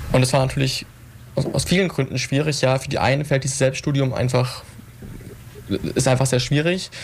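With long, frequent pauses, a man of medium pitch speaks at a moderate pace and with fairly even intonation. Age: 20s. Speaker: young politician and student. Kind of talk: radio panel discussion.

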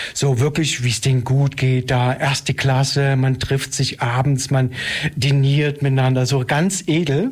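A man speaks with an unremarkable speaking voice and fairly even intonation. His loudness stays very even. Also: medium pitch for a man, fairly slow pace. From East Germany (Saxony). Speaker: dance theatre director and choreographer. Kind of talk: radio interview.

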